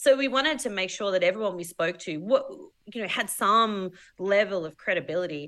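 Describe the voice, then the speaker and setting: Lively intonation runs through this voice, which moves at a fairly quick pace. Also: woman. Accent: Australian. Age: 40s. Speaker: filmmaker. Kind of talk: casual chat.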